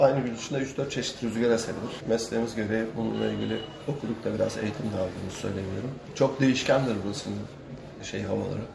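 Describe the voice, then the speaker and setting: There is audible room echo along with noticeable background noise. A man talks at a very fast pace. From Kilitbahir, Çanakkale, Turkey. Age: 50s. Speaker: sailor. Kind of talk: casual interview.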